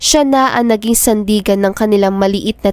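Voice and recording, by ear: Natural-sounding reading aloud with ordinary pitch variation.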